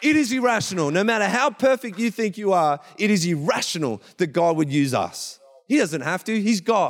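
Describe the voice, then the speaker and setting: In an animated, passionate tone, a man speaks at a moderate pace with a high pitch and very wide pitch swings. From Gippsland, Victoria, Australia. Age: 30s. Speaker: church pastor. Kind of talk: sermon. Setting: church with live audience and online stream. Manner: animated, passionate preacher.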